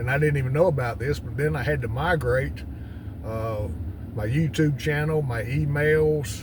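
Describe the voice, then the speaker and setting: A man at a fairly slow pace with lively intonation, audible room echo and noticeable background noise. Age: 60s. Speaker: retired farmer and YouTuber. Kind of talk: casual vlog monologue. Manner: halting, many fillers.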